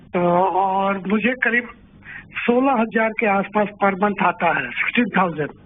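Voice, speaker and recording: Keeping his loudness very even, a man talks in a high voice. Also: ordinary pitch variation. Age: 70s. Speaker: retired caller. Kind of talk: phone-in question. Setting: phone call.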